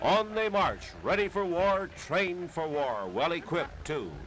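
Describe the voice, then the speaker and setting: Over noticeable background noise, a man speaks in a dramatic tone, high in pitch, with lively intonation at a fairly slow pace. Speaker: newsreel narrator. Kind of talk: vintage newsreel narration.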